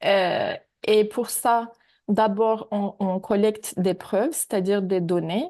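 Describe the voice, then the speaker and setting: A woman speaks at a fairly slow pace with a non-native accent, a dark, mellow tone and fairly even intonation. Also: quiet background. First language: not French (speaking French). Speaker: AI ethics researcher. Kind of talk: webinar presentation. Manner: hesitant, many fillers.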